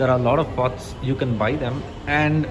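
Noticeable background noise accompanies a man speaking with fairly even intonation. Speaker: travel vlogger. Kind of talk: casual vlog chat. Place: cafe. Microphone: phone near.

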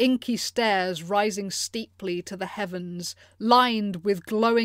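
A speaker does plain reading aloud.

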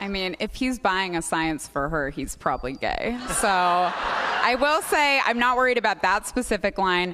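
A woman in an American accent, at a moderate pace with hardly any pauses, her pitch swinging very widely, over noticeable background noise. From Portland, Oregon, US; Oregon. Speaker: comedy writer; interview guest. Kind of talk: comedic interview. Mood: playful, joking. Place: stage. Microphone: studio mic.

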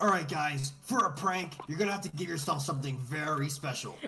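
A man's put-on character voice, fairly high in pitch and fairly quick, with music in the background. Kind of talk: casual voice chat. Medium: role play. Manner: upbeat, mock sales pitch.

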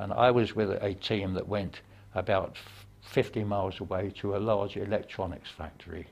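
A man speaks at a fairly low pitch and a moderate pace. His voice is somewhat breathy, with fairly even intonation. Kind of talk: interview answer. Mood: calm, reflective, gently humorous. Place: hall.

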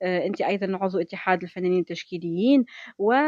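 In a Tunisian accent, a woman speaks at a medium pitch with a dry sound and no echo. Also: quiet background. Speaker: radio host. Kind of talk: radio interview. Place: studio. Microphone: studio mic.

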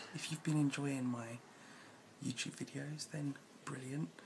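The voice is somewhat breathy with lively intonation. Light background noise sits behind it. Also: man. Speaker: vlogger. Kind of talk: casual vlog chat. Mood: annoyed in part. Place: home room. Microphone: phone near.

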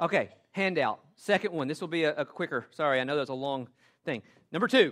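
Recorded very cleanly with a silent background, a man with a Southern US accent speaks at a moderate pace with lively intonation. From US South, western Tennessee. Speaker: pastor. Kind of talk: sermon. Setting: church.

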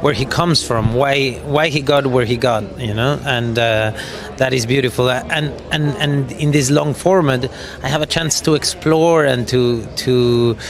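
Music plays in the background as a man talks at a moderate pace, the sound dry with no echo. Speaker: actor at press event. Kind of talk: interview answer. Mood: warm, enthusiastic, laughing. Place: hall. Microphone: handheld.

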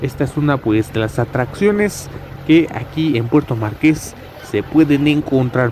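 Light background noise runs under a man's voice. He speaks at a very slow pace with lively intonation. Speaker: travel vlogger. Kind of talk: casual vlog chat. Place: boat. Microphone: phone near.

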